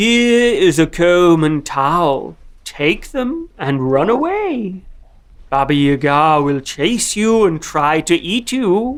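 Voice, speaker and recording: A cartoonish character voice at middle pitch and a very slow pace. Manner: calm, confiding.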